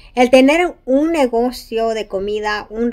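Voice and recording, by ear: A woman speaks at a medium pitch with a slightly mellow tone. Her pitch varies in an ordinary way.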